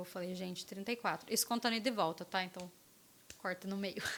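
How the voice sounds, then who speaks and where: A woman's voice, medium in pitch, carries a bright, sharp tone with ordinary pitch variation. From interior of São Paulo state, Brazil (Lorena). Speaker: former digital platform relationship manager. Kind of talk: casual podcast interview.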